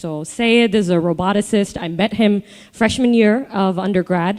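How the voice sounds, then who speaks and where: Speaking with an American accent, a woman has a dark, mellow tone and ordinary pitch variation. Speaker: startup founder. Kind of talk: live podcast interview. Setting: stage with live audience. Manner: halting, many fillers.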